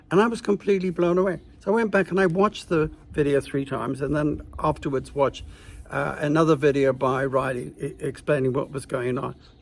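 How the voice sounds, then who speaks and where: Speaking at a fairly quick pace, a man with a fairly high pitch shows vocal fry and ordinary pitch variation. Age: 70s. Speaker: political commentary video maker. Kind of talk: opinion rant to camera. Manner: animated, indignant; halting with many fillers.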